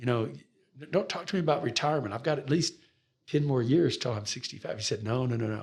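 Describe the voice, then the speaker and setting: With an American accent, a man talks at a very fast pace in a medium pitch. His intonation is lively and his voice somewhat breathy. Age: 60s. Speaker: pastor. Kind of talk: interview.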